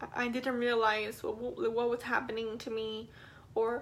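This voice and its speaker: This woman speaks in a high pitch at a fairly slow pace. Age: 20s. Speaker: vlogger. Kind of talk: personal testimony. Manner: halting.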